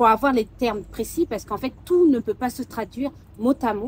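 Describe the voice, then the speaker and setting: Lively intonation runs through the speech. It moves at a fairly quick pace. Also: woman. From Mauritania. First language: Soninke (speaking French). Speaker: sophrologist. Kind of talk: interview conversation. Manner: hesitant, many fillers.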